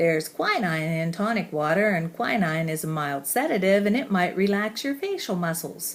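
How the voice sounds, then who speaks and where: An unremarkable speaking voice moves at a moderate pace with hardly any pauses. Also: woman, medium pitch for a woman, lively intonation. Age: 60s. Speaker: high school English teacher with facial spasms. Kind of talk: personal testimony.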